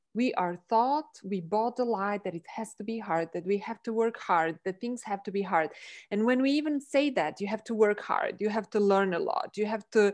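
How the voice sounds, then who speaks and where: Against a quiet background, a woman with a non-native accent and a fairly high pitch speaks at a moderate pace with ordinary pitch variation and hardly any pauses. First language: not English. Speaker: energy healing practitioner. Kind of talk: casual chat. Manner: animated.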